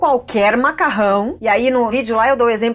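Here a woman talks at a fairly quick pace with a high pitch. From interior of São Paulo state, Brazil. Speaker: journalist and nutrition YouTuber. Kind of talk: casual podcast interview.

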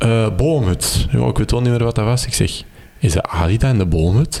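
Lively intonation from a man at a moderate pace, with noticeable background noise. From Belgium, Kempen (Campine). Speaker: maker and electronics hobbyist. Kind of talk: casual interview. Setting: at home in living room.

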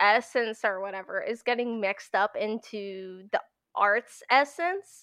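Over a quiet background, a voice with an American accent has a bright, sharp tone. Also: woman. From Pennsylvania, US. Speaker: animator and compositor. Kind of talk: casual interview chat. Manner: casual, filler-heavy.

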